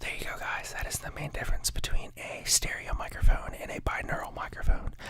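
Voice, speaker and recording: Against noticeable background noise, a whispered voice moves at a fairly quick pace. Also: man. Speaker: ASMR creator. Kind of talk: casual explanatory talk to camera. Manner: conversational, with filler words.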